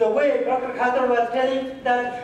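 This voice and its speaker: With a Nepali accent, a man speaks at an extremely high pitch and moderate pace, amid noticeable background noise and audible room echo. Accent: Nepali village accent, unchanged. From rural Nepal. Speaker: research scientist and education advocate. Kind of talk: conference presentation. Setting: conference hall.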